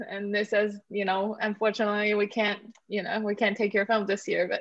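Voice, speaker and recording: A woman with an American accent uses an ordinary speaking voice at a medium pitch and a moderate pace. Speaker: film writer and director. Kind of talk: interview.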